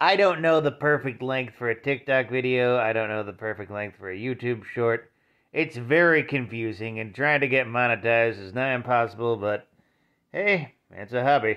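Against a quiet background, a man speaks at a moderate pace with ordinary pitch variation. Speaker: vlogger. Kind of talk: casual vlog chat. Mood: wry, mildly grumbling. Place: home room. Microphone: phone near.

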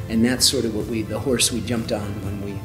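A man's monotone, flat delivery over clear background music. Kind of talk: interview answer.

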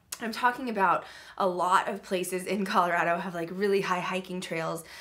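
Speaking at a fairly quick pace, a woman delivers her words. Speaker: channel host. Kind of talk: casual vlog chat. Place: home room. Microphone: webcam.

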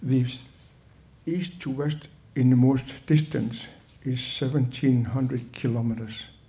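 A man speaks at a very slow pace, leaving long, frequent pauses. His tone is dark and mellow, and somewhat breathy. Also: fairly even intonation. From Greenland. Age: 70s. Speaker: guest. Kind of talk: talk to audience. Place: hall. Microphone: podium.

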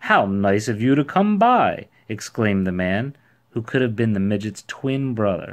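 What we hear is plain reading aloud.

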